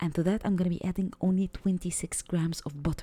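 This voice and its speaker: A woman's somewhat breathy, dark, mellow voice at a moderate pace, on a very clean recording with a silent background. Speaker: cooking channel host. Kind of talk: cooking tutorial. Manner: unscripted, occasionally hesitant.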